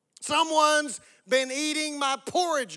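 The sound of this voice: A growling put-on character voice, high-pitched and at a fairly slow pace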